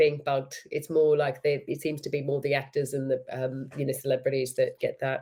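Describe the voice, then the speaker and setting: Somewhat breathy and dark, mellow in tone, a woman speaks at a very deep, low pitch and a fairly quick pace, with monotone, flat intonation and hardly any pauses. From Australia. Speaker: actress and filmmaker. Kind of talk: casual interview chat.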